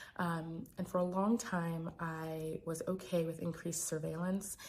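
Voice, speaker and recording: A soft-spoken, somewhat breathy woman's voice, fairly low in pitch, at a moderate pace. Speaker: physician and sex educator. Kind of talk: personal vlog. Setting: home recording. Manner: hesitant, many fillers.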